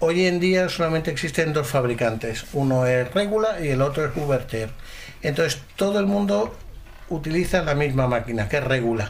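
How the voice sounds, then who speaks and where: Fairly high-pitched male speech with lively intonation, very even loudness, and a moderate pace, plus audible room echo. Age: 50s. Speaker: cuckoo clock maker. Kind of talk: interview. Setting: workshop.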